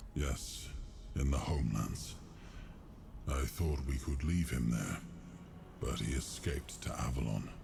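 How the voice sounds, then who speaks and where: Over loud background noise, a man does a put-on character voice at a moderate pace, with long, frequent pauses. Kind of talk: game dialogue voice acting. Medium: video game. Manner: solemn, measured.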